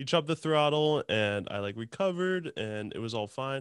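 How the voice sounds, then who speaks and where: A plain, everyday voice from a man, moderately paced, lively in intonation. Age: 20s. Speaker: podcast host and helicopter pilot. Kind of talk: casual chat.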